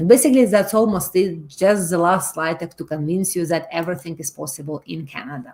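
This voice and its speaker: A woman talks with a Russian accent. Her pitch is fairly low and varies in an ordinary way. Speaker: loan company presenter. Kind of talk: webinar presentation. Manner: halting, many fillers.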